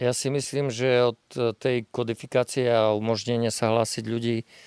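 A man with an ordinary speaking voice at medium pitch and moderate pace, in a dry, close sound with no echo. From northeastern Slovakia, Rusyn village near Snina. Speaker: local villager. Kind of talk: casual chat.

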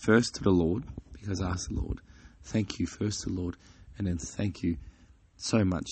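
A very deep, low male voice, somewhat breathy, with ordinary pitch variation. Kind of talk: devotional talk. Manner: halting, with fillers.

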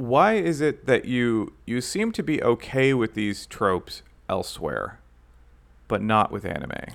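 A man talks at a fairly slow pace. The recording is very clean, with a silent background. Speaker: podcast co-host, YouTube video essayist. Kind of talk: casual chat. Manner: puts on a mock radio voice at the start.

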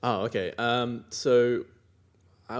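The recording is very clean against a silent background. It features a man with an Australian accent. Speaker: iOS engineer and conference organiser. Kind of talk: interview.

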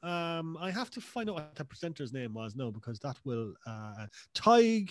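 In a Cork accent, a man speaks at a fairly high pitch. His voice makes very wide pitch swings against a quiet background. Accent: Cork Irish. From Cork, Ireland. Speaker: podcast guest. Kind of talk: casual chat.

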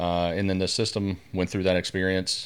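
With a Southern US accent, a man with a very deep, low voice talks fairly quickly and with fairly even intonation over a silent background in a very clean recording. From US South, northwest Louisiana. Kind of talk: podcast interview.

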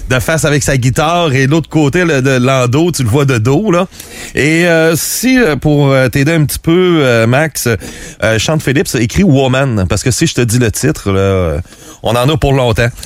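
Lively intonation at a fairly slow pace over noticeable background noise. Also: man, medium pitch for a man, very even loudness. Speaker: music radio columnist. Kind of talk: casual chat.

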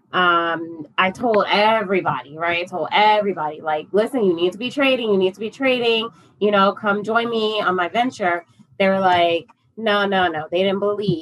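A woman's normal speaking voice, medium in pitch, with an American accent at a moderate pace. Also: ordinary pitch variation. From upstate New York. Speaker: forex trader and parent. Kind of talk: casual interview chat.

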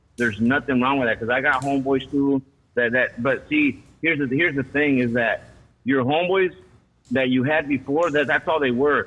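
In a plain, everyday voice, a man speaks at a fairly quick pace and fairly high pitch, with fairly even intonation and very even loudness. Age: 40s. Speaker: caller. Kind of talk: phone call-in. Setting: phone call.

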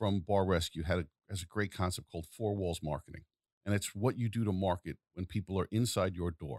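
On a very clean recording with a silent background, a man with a New York accent speaks at a moderate pace and a fairly low pitch. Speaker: podcast host. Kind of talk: casual interview.

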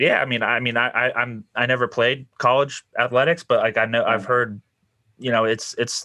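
Using a bright, sharp tone, a man talks at a moderate pace with fairly even intonation. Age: 20s. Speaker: podcast host. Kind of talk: podcast intro monologue; casual interview. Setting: video call.

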